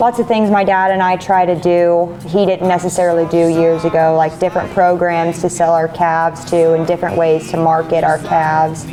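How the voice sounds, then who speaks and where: Music plays behind a woman with a rural Midwestern accent and a fairly low pitch, speaking at a moderate pace with hardly any pauses. Her intonation is monotone and flat, and her loudness stays very even. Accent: Midwestern American rural. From northwest Missouri. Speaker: farmer and rancher. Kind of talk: interview answer.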